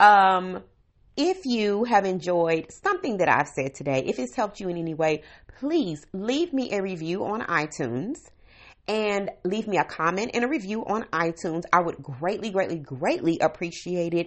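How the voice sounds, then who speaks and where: Lively intonation and a moderate pace mark a woman's unremarkable speaking voice. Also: medium pitch for a woman. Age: 40s. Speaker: podcast host, stay-at-home mom. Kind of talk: casual solo monologue. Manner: conversational, laughing at times.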